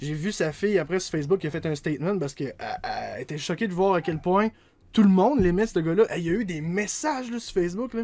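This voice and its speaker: A man with a high pitch and ordinary pitch variation talks very fast. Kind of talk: casual podcast conversation.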